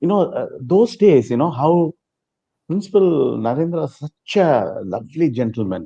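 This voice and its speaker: A man with a fairly high pitch and a dark, mellow tone shows vocal fry and very wide pitch swings at a moderate pace. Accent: Telugu. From South India (Chennai). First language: Telugu. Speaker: former student sharing experience. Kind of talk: interview testimony.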